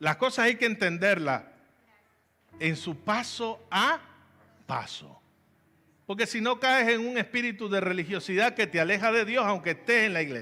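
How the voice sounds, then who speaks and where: A raised, projected voice with a bright, sharp tone and lively intonation. It moves at a fairly slow pace with long, frequent pauses. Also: man, high pitch for a man. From Venezuela, Valencia (Carabobo). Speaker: pastor. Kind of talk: sermon.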